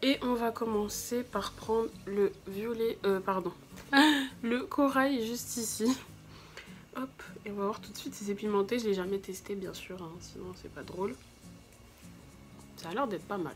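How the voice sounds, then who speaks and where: A woman at a fairly slow pace, with long, frequent pauses, big swings in loudness and noticeable background noise. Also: medium pitch for a woman, ordinary pitch variation. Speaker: beauty youtuber. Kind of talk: makeup tutorial.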